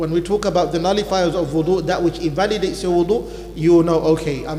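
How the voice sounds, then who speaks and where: In a room with audible echo and noticeable background noise, a man speaks at a fairly quick pace in a high pitch with monotone, flat intonation. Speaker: imam teaching Islamic law class. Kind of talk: religious lecture. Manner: normally talks fast.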